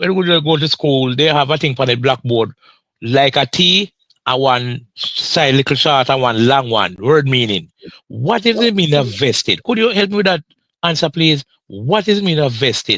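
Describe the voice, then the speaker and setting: In a Jamaican accent, a man with a fairly high, bright, sharp voice speaks at a moderate pace with very wide pitch swings and very even loudness, recorded dry and close with no echo. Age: 60s. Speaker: retired pension claimant. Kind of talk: live podcast interview.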